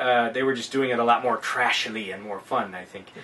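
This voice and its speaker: A man talks at a fairly quick pace with medium pitch. Noticeable background noise runs underneath. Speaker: film reviewer. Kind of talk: casual film review conversation.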